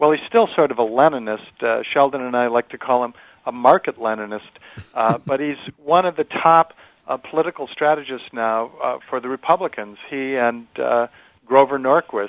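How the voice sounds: This man talks at a moderate pace and medium pitch, with ordinary pitch variation, in a dry, close sound with no echo.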